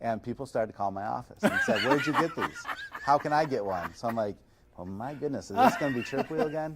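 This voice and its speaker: A man speaks at a very fast pace with lively intonation and a fairly high pitch. Noticeable background noise runs underneath. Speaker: chiropractor and massage chair reviewer. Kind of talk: podcast interview. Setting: showroom. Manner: casual.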